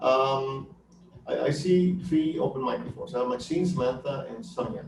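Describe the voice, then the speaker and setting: A man with a fairly high pitch swings very widely in pitch, with noticeable background noise and audible room echo. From New York, Colombian family. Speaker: academic director and webinar presenter. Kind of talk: webinar Q&A. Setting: online webinar.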